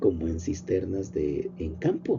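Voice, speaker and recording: There is vocal fry in this man's voice. Audible room echo can be heard. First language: Nahuatl (speaking Spanish). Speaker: professor and agronomist. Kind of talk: lecture. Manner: informal, with fillers and repetitions.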